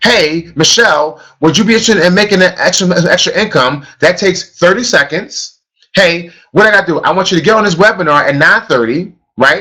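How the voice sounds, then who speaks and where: With an American accent, a man speaks in a raised, projected voice that is high-pitched, bright and sharp in tone, with ordinary pitch variation. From US, grew up in housing projects. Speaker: network marketing trainer. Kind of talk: motivational training session. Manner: fast; animated.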